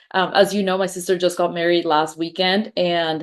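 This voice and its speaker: A woman of medium pitch speaks with a Spanish accent. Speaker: podcast host, wedding business owner. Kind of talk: podcast interview.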